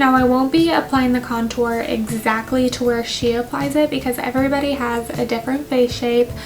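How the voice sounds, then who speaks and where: A woman with an American accent speaks at a fairly quick pace in a high voice with fairly even intonation, music playing in the background. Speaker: beauty vlogger and aesthetician. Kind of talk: makeup tutorial commentary. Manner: casual, conversational.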